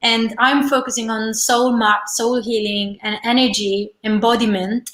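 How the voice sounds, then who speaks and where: The delivery is fairly slow, with an Italian accent. The intonation stays monotone and flat. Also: woman, fairly high pitch for a woman. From Italy, Rome. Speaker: holistic teacher and energy healer. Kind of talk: interview.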